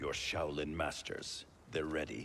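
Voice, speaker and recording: Over clear background noise, a man does a put-on character voice with a very deep, low pitch at a fairly slow pace. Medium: video game. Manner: suspicious, firm.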